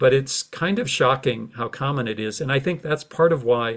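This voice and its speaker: In a very clean recording with a silent background, a man with an American accent speaks at a moderate pace and medium pitch, somewhat breathy, with ordinary pitch variation. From United States. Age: 60s. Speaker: retired journalism professor and author. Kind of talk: interview. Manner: halting, many repeated words and fillers.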